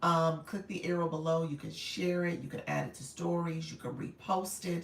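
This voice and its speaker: At a moderate pace, a woman speaks in a fairly low pitch. Her voice is somewhat breathy, with monotone, flat intonation. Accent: American. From US Midwest, Chicago. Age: 50s. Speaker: online business coach. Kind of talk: livestream coaching chat. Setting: TikTok livestream. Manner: casual, chatty.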